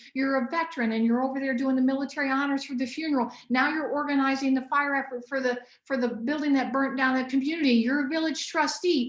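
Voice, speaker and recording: At a very fast pace, a woman talks in a high pitch. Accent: American. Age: 60s. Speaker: biochemist and nutritionist. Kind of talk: podcast interview. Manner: animated.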